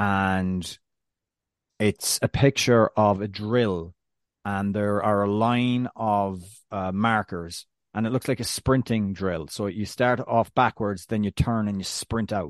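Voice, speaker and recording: A man with an Irish accent and fairly low pitch, very slow and fairly even in intonation, in a dry, close sound with no echo against a quiet background. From Ireland. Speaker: soccer podcast co-host. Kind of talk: casual chat.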